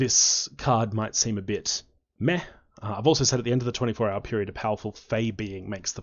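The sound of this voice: Here the reading voice sounds unforced.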